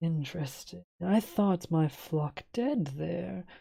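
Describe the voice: This put-on character voice is booming and middle-pitched, delivered at a very slow pace.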